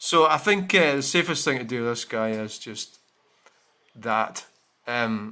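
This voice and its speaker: A man with a Scottish accent, medium pitch, bright and sharp tone, lively intonation, fairly slow pace and long, frequent pauses. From Scotland. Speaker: vlogger. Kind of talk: casual vlog talk. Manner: halting.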